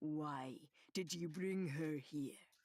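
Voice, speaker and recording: Middle pitch in a put-on character voice. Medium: read story. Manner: arrogant, mocking.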